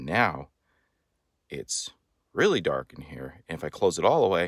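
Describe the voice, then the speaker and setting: Soft-spoken, a man talks at a moderate pace in a dry, close recording with no echo. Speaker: great-uncle making a video message. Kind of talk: explaining to a child.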